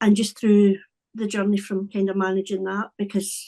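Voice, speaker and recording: With a Scottish accent, a woman talks fairly quickly at a medium pitch in a dark, mellow tone. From Scotland. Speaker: wellbeing coach. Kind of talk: podcast interview.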